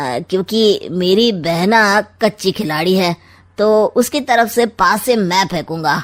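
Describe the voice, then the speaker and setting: In a cartoonish character voice, a woman speaks very slowly at a medium pitch with lively intonation, on a very clean recording with a silent background. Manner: sly, mocking.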